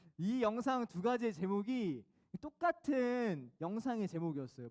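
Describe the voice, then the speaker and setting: A man speaks with a high-pitched voice. His pitch swings very widely. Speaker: youth pastor. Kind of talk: sermon. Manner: fast.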